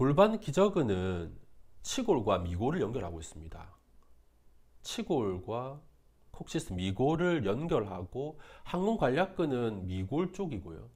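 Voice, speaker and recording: Speaking at a very slow pace with long, frequent pauses, a man uses a medium pitch and shows vocal fry. His pitch swings very widely and his loudness swings a lot too. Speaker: physical therapy instructor. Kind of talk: lecture.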